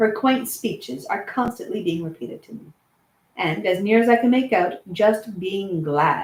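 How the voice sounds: Lively intonation marks this natural reading voice, heard against a quiet background.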